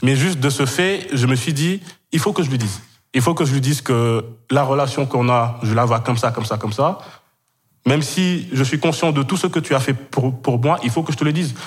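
A man's somewhat breathy, medium-pitched voice at a fairly quick pace, with lively intonation. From Kenya (Senegalese family, French school). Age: 20s. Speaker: podcast guest, web project graduate. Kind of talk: personal testimony in casual interview. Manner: halting, many fillers and repetitions.

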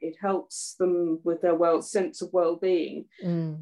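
Speaking fairly slowly in a southern English accent, a woman has a dark, mellow tone. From Surrey, southeast England. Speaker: charity volunteer organiser. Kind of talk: casual interview.

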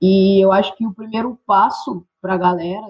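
Somewhat breathy and medium in pitch, a woman's voice moves at a moderate pace. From Brazil, interior of São Paulo state. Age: 20s. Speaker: activist and physical education student. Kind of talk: casual discussion.

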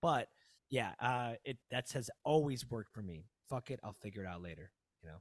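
A man with an American accent and a plain, everyday voice talks at medium pitch and a fairly quick pace, with lively intonation and big swings in loudness. The recording is very clean, with a silent background and a dry, close sound with no echo. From US Midwest, Chicago suburbs (Aurora). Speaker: yoga teacher and entrepreneur. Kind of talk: casual chat.

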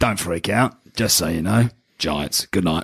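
A man uses a put-on character voice, raspy and very deep in pitch. His pace is moderate. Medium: actual play. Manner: blunt, gruff.

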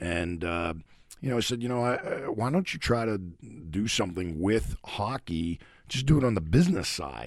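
A man with an American accent, fairly low in pitch, at a moderate pace, with very wide pitch swings. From Pittsburgh, Pennsylvania. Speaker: hockey coach. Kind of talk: interview. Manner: animated.

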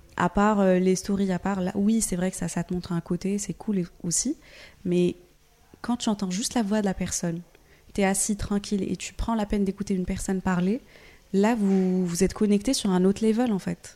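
The woman has a dark, mellow tone at a medium pitch. Her intonation is fairly even. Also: moderate pace. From Morocco. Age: 20s. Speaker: podcaster and social media creator. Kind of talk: casual chat.

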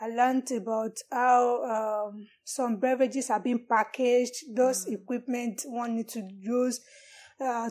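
Speaking at a fairly slow pace with a Nigerian accent, a woman has a high pitch and a dark, mellow tone. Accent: Nigerian (Yoruba) English. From Nigeria (Yoruba, southwest). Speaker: parasitologist. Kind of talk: interview.

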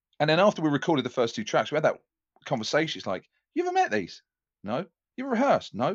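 Someone with an English accent speaks very fast, yet with long, frequent pauses. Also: man. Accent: English, non-Yorkshire. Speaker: radio DJ and drummer. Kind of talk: casual interview chat.

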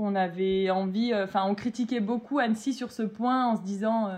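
A woman has an ordinary speaking voice with ordinary pitch variation. She talks at a fairly slow pace. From France, Metz (Lorraine). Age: 20s. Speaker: food truck owner, former surgical nurse. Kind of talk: casual interview.

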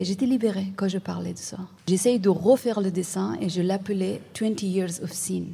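A woman with a non-native accent speaks slowly-ish at a fairly slow pace, her medium-pitched voice somewhat breathy with a dark, mellow tone. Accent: foreign-accented French, switches to English. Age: 30s. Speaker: visual artist. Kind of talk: interview. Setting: live event with audience. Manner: halting, repeats words.

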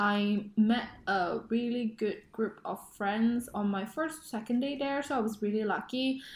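A woman with a fairly high, somewhat breathy voice speaks at a fairly slow pace with ordinary pitch variation and hardly any pauses. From Indonesia. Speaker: pharmacist, podcast co-host. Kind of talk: casual chat.

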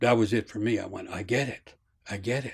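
With an American accent, a man speaks in an ordinary speaking voice at a fairly quick pace, with medium pitch and ordinary pitch variation. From US. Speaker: storyteller and mythology author. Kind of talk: interview with storytelling. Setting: video call, standing up.

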